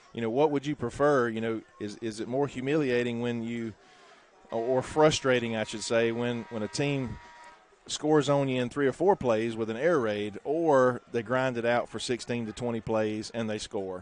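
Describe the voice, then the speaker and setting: A man speaks with a Southern US accent at a medium pitch and fairly even intonation. Background noise is noticeable. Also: moderate pace. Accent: Southern US (Georgia). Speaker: high school football play-by-play announcer. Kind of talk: live sports commentary. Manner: halting, many fillers.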